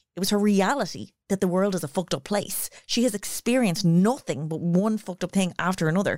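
In an Irish accent, a woman with a medium pitch and ordinary pitch variation talks at a very fast pace, the sound dry and close with no echo on a very clean recording with a silent background. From Ireland. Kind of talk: casual chat. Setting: studio.

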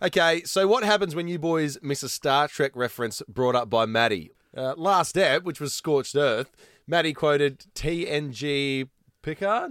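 A man with an Australian accent speaks at a fairly slow pace in a fairly high voice, his intonation lively and the sound dry and close with no echo. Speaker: podcast co-host. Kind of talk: casual chat.

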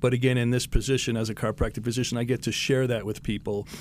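A man with an ordinary speaking voice. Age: 60s. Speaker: chiropractor. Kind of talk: radio interview. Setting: studio.

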